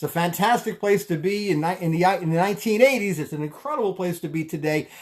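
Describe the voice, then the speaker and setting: In a Brooklyn accent, a man speaks with a high pitch, an animated tone and lively intonation. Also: very clean recording, silent background. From Brooklyn, New York. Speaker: tax advisor and network marketer. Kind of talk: live stream talk. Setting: live video stream. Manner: fast.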